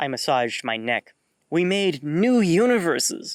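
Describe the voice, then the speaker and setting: This man talks fairly slowly. His voice is a put-on character voice. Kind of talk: formal, archaic diction. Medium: read story. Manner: formal, measured.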